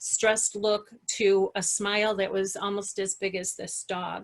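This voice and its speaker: A woman speaks in a plain, everyday voice. Her pitch is medium and her pace fairly slow. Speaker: hospice nurse and educator. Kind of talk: online presentation.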